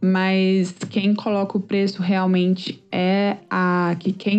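At a medium pitch, a woman speaks at a very slow pace. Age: 30s. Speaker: startup founder. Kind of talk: interview.

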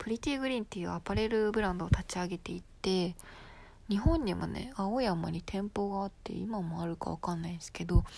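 A very clean recording with a silent background, at a fairly quick pace. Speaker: solo podcaster. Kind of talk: casual monologue. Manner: frequent laughter, filler-heavy; halting, self-correcting.

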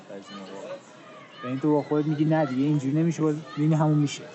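Over crowd noise in the background, a man talks very fast at a fairly high pitch with fairly even intonation. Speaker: podcast co-host. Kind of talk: casual chat. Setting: outdoors on a park bench.

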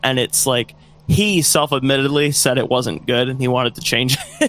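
Noticeable background noise runs under a man talking at a moderate pace. His medium-pitched voice sounds dry and close, with no echo. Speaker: band member, musician. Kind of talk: casual interview chat.

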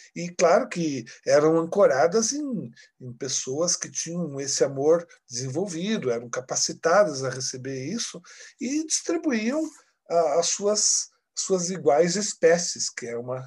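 At a fairly slow pace, a man talks in a normal speaking voice, fairly high in pitch, with big swings in loudness. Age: 50s. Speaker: spiritual book publisher representative. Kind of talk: casual chat.

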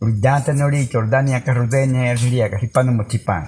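A man with a medium pitch speaks in a dark, mellow, somewhat breathy tone. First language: Baniwa (speaking Portuguese). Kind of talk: storytelling. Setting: around a fire in a longhouse at night.

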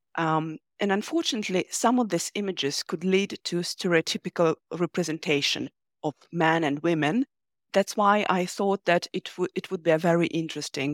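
A plain, everyday voice: a woman at a fairly low pitch, moderate pace and ordinary pitch variation, in a dry, close sound with no echo. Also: very clean recording, silent background. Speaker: linguistics researcher. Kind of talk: interview about research.

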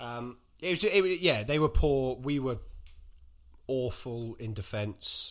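Somewhat breathy, a man's voice comes through on a very clean recording with a silent background. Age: 20s. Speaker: football fan. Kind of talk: casual chat.

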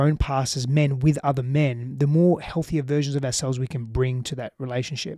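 A man with an Australian accent at a very fast pace, fairly high in pitch with a dark, mellow tone, in a very clean recording with a silent background and a dry, close sound with no echo. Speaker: relationships coach. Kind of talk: podcast interview. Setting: in person in Austin, Texas.

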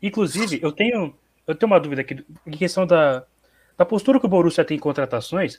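The recording is very clean with a silent background. A man with a high pitch and lively intonation talks at a very fast pace, broken by long, frequent pauses. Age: young. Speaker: football podcast panelist. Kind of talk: casual chat.

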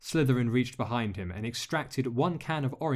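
The passage is read aloud plainly. Nothing else marks the delivery.

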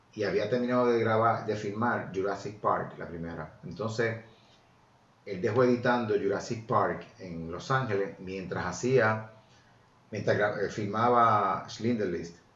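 Audible room echo surrounds a man speaking fairly slowly in a fairly low voice with fairly even intonation. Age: 50s. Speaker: journalist. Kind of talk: casual chat.

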